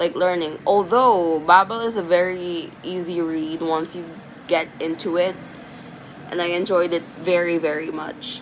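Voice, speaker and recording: A woman at a fairly slow pace with fairly even intonation, over noticeable background noise. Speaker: vlogger, aspiring fiction writer. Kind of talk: casual vlog chat. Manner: casual, filler-heavy.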